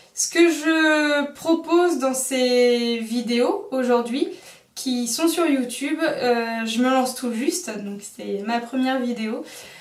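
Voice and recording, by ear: A woman's high-pitched voice at a slow pace. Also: ordinary pitch variation.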